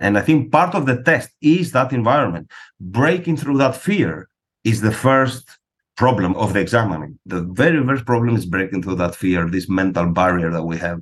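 In a Greek accent, a man with a fairly low pitch talks at a moderate pace, his voice making very wide pitch swings. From Greece. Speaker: psychologist and test-prep director. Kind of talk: interview.

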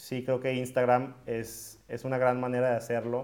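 A man with a medium-pitched voice and an unremarkable speaking voice. He talks at a moderate pace. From Mexico, Monterrey. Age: 20s. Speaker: entrepreneur and podcast host. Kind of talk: talk to students. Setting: video call.

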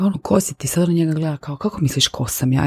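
Somewhat breathy, with a dark, mellow tone and very deep, low pitch, a woman speaks with lively intonation in a dry, close sound with no echo. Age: 40s. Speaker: podcast host. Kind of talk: personal monologue. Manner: casual, conversational with English phrases.

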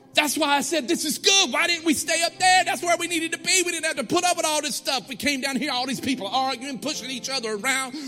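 With music in the background, a man talks at a very fast pace in a raised, projected voice, extremely high in pitch, with an animated tone and ordinary pitch variation. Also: hardly any pauses. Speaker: pastor. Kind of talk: sermon, call-and-response with a live congregation. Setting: church with congregation. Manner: animated, exhorting, rallying the crowd with repeated commands; rhythmic, repetitive, building to emphatic refrains.

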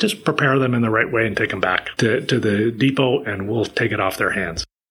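The speaker has an unremarkable speaking voice, talking at a moderate pace with ordinary pitch variation. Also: man. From Maritime Canada (Prince Edward Island). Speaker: recycling organization executive. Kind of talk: interview.

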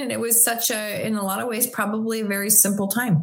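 A woman with a Canadian accent speaks in a normal speaking voice at a fairly high pitch. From Canada, Ontario (Chatham). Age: 50s. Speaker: kinesiologist. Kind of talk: casual interview chat.

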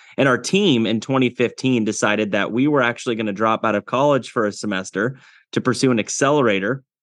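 A man with a Midwestern American accent at a very fast pace, medium pitch, ordinary pitch variation and very even loudness, over a quiet background. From US Midwest, Iowa. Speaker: agtech entrepreneur. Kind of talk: interview. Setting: studio.

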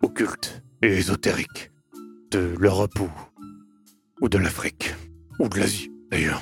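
A man with a very deep, low voice speaks in an intense tone, fairly even in intonation, with long, frequent pauses. Faint music plays behind the dry, close sound, which has no echo. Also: moderate pace. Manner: intense, grave, hesitant.

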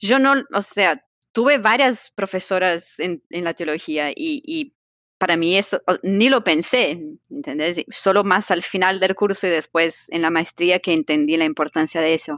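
A woman's medium-pitched voice at a fairly slow pace, with lively intonation and a dry, close sound with no echo. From Brazil. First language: Portuguese (speaking Spanish). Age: young. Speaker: theologian. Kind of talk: casual interview.

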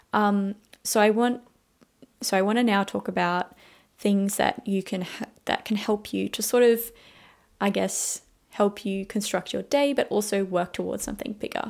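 A woman at medium pitch and moderate pace, with an Australian accent, fairly even intonation and long, frequent pauses. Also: very clean recording, silent background. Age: 20s. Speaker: podcast host, university student. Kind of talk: casual solo podcast monologue.

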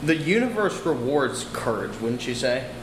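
A man with a fairly high pitch speaks at a moderate pace, with audible room echo and noticeable background noise. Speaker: podcast host. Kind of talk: casual chat. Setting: apartment by a window. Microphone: echo in the room.

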